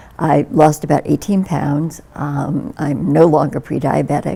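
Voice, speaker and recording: Through noticeable background noise comes a woman's very deep, low voice. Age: 70s. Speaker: health program participant. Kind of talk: testimonial. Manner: halting.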